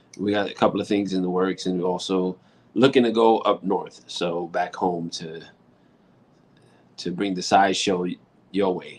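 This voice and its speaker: Very deep and low-pitched, a man with a New York accent talks at a moderate pace with long, frequent pauses. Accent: heavy New York. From New York City. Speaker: rock musician and author. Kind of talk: casual interview.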